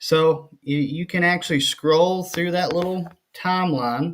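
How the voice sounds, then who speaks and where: Very slowly, a man with a high voice speaks with ordinary pitch variation. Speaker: kayak fishing video creator. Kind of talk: tutorial. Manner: stutter; hesitant, frequent ums.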